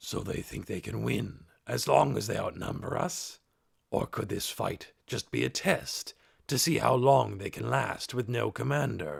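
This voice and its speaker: A man puts on a raspy character voice. It sits at a fairly low pitch. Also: moderate pace. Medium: read story. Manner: blunt, complaining.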